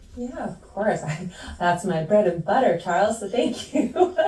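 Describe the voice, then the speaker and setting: A woman speaks with a Canadian accent and lively intonation. There is noticeable background noise and audible room echo. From Canada. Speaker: climate communications expert. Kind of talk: webinar talk.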